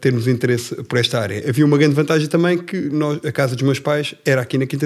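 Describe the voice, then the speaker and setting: Speaking at a very fast pace with ordinary pitch variation, a man is heard in a very clean recording with a silent background. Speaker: family business executive. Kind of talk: casual interview.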